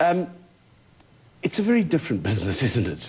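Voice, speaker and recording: A man's voice with music in the background. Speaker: TV interviewer, show host. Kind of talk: TV interview questions.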